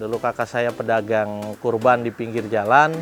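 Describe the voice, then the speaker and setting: A man is speaking. Music plays in the background. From Jakarta (Betawi). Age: 30s. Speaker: livestock farmer. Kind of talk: interview monologue. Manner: halting with fillers.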